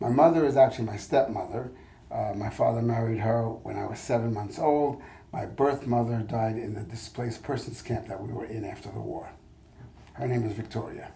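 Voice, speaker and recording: The voice has a dark, mellow tone with vocal fry and fairly even intonation at a fairly quick pace. Loudness swings widely, and room echo is audible. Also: man, medium pitch for a man. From France (Paris). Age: 70s. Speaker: history professor. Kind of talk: oral history interview. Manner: halting, many fillers.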